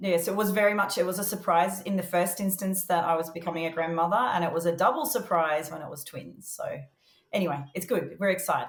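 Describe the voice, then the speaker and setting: She has a medium-pitched voice and an Australian accent. The woman talks at a very fast pace. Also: ordinary pitch variation. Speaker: early education executive. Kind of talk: podcast interview.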